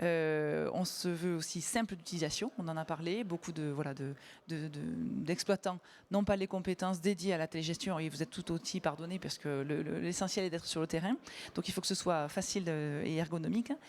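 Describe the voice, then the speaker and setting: The woman's pitch is fairly low with ordinary variation. She speaks at a moderate pace. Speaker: company sales director. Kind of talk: conference panel presentation. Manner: hesitant, many fillers.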